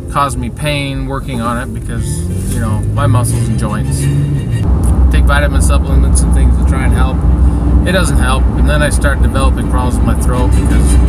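A man talks at a moderate pace. Background music accompanies him. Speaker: vlogger. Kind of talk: casual vlog chat. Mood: weary, complaining. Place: car. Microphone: phone near.

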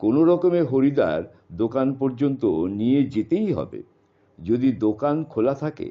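Lively intonation from an unforced reading voice

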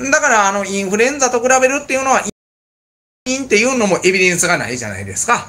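Speaking in a Kansai accent, a man with a high pitch uses a raised, projected voice with a bright, sharp tone, ordinary pitch variation and a very fast pace. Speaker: bar owner and channel host. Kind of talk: casual chat. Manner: halting, filler-heavy; laughs often. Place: bar.

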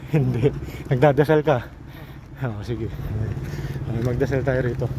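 A man's dry voice, without any echo, competes with loud background noise. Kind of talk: casual vlog chat. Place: street. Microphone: phone near.

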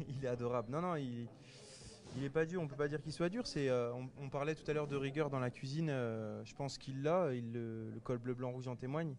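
A man in an ordinary speaking voice talks at a fairly quick pace with medium pitch and fairly even intonation. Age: 30s. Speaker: TV cooking contest winner, chef. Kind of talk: interview.

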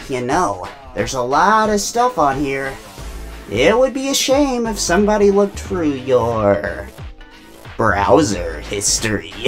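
This is a put-on character voice delivered at a fairly slow pace. Music plays clearly in the background. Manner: smug, teasing.

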